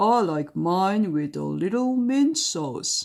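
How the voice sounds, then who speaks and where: Using a put-on character voice, a woman speaks at a medium pitch and a very slow pace. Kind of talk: bedtime story. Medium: read story. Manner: gruff, blunt.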